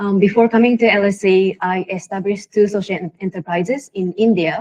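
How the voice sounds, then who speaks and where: Heard in a dry, close sound with no echo, a woman speaks with a Japanese accent. Her pitch is medium and her intonation fairly even. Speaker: social entrepreneur. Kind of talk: panel discussion.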